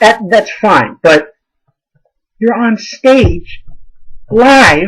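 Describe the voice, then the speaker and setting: A man mumbles in an animated tone. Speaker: amateur theatre reviewer. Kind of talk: casual video review. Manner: mumbling.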